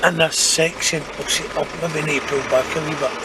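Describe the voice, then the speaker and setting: A man with a Scottish accent speaks at a moderate pace in a fairly high pitch. His intonation is fairly even, and background noise is noticeable. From Scotland, Renfrewshire. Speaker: former orphanage resident. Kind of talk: casual talk to camera while driving and touring.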